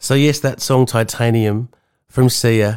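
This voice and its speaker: At a fairly slow pace and with fairly even intonation, someone speaks in an Australian accent on a very clean recording with a silent background. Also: man. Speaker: podcast host and counsellor. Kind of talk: personal monologue.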